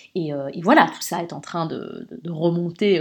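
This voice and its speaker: This woman speaks at a fairly low pitch in a very clean recording with a silent background. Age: 30s. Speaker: podcast host and women's coach. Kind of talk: personal monologue. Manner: hesitant with repetitions.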